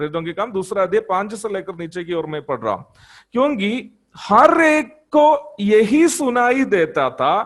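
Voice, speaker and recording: High male voice in a Malayalam accent, with very wide pitch swings. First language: Malayalam (speaking Hindi). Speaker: preacher. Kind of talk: sermon. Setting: church congregation.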